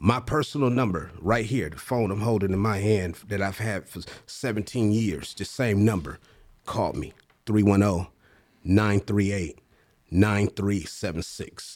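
A man speaks with a fairly low pitch at a fairly slow pace. His intonation stays fairly even. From US West Coast, Compton. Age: 50s. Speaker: motivational speaker. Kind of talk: casual chat.

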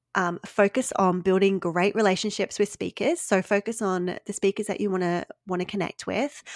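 Medium-pitched female speech with an Australian accent, fairly even intonation and a moderate pace, in a dry, close sound with no echo and a very clean recording, silent background. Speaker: business coach and podcast host. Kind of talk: casual interview chat.

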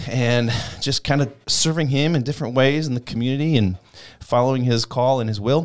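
A man with an Upper Midwest accent talks at a fairly quick pace. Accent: Upper Midwest American. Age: 20s. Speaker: youth ministry worker, former pastor. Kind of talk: casual interview, personal testimony. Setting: studio. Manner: animated.

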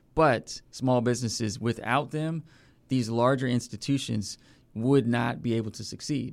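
A man with an American accent speaks at a moderate pace in a medium pitch, his intonation fairly even, on a very clean recording with a silent background. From Northern Virginia. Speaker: community development nonprofit director. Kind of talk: interview. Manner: many filler words and hesitations.

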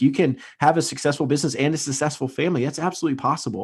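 A man's fairly high voice with vocal fry at a very fast pace, against a quiet background. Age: 30s. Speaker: real estate agent and business founder. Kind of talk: podcast interview.

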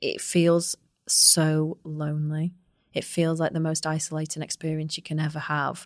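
A woman speaks at a moderate pace with a very deep, low pitch. Her intonation is monotone and flat, in a very clean recording with a silent background. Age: 30s. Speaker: managing director and podcast host. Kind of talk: casual chat. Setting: office podcast studio.

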